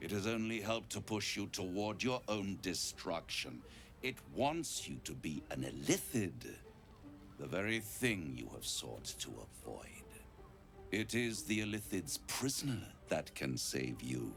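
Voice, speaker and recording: Delivered at a moderate pace, a put-on character voice comes through clear background noise. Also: man, very deep, low pitch for a man. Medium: video game. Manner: smooth, persuasive.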